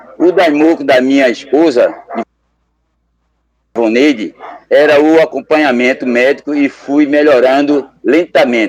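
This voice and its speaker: A man speaks at a fairly high pitch with fairly even intonation. His pace is fairly slow, with long, frequent pauses. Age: 60s. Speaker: Buddhist lay member, local group leader. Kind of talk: testimony.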